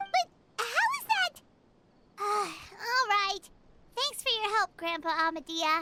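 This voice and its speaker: An extremely high-pitched, put-on character voice. It moves at a fairly slow pace with long, frequent pauses. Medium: read story. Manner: chatty.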